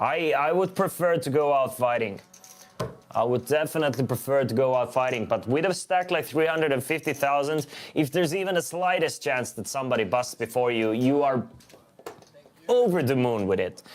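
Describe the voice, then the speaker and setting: This man has an Estonian accent and a fairly high pitch. He talks at a fairly quick pace with ordinary pitch variation. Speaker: poker commentator. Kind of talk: live commentary. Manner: casual, conversational.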